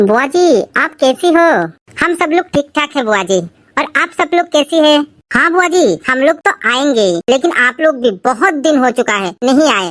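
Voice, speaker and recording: The cartoonish character voice keeps to a moderate pace. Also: female-sounding voice, high pitch for a woman. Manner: nagging, sarcastic.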